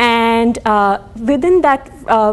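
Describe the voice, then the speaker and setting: A woman speaks with a Tamil accent. Her voice is fairly high, with ordinary pitch variation. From India, Tamil. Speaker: professor. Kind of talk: lecture. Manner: halting, many fillers and restarts.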